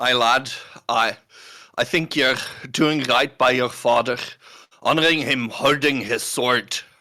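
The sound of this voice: Putting on a character voice, a man speaks raspily at medium pitch and a fairly slow pace, with long, frequent pauses.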